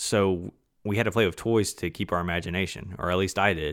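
Recorded very cleanly against a silent background, a man with an ordinary speaking voice talks at a moderate pace, his fairly low pitch showing ordinary pitch variation. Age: 20s. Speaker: podcast host. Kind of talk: news roundup and casual commentary; casual personal reminiscence.

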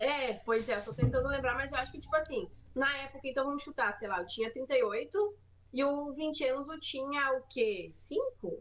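Speaking at a moderate pace, a woman uses lively intonation and a high pitch. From Rio Grande do Sul, Brazil. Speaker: stand-up comedian. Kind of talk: casual chat.

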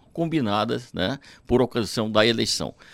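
A man is speaking on a very clean recording with a silent background. The sound is dry and close, with no echo. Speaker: municipal secretary. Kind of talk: radio interview.

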